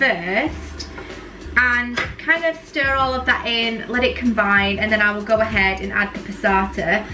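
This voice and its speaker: Music plays in the background as a woman talks with ordinary pitch variation. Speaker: food vlogger. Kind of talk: casual cooking tutorial chat. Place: kitchen. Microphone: camera far.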